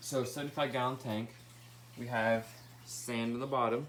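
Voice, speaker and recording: A man talks at a moderate pace. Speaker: pet keeper vlogger. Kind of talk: casual tank tour video. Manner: casual, filler words.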